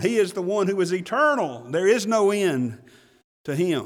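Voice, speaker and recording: Speaking with an Alabama accent, a man with a high pitch talks at a fairly slow pace with lively intonation. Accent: Southern US (Alabama). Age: 50s. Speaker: pastor. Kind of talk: sermon. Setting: church.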